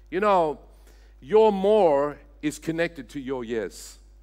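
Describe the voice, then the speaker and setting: A man's fairly high voice at a fairly slow pace, with very wide pitch swings. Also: very clean recording, silent background. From Australia, Sydney. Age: 60s. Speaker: senior pastor. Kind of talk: sermon. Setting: church.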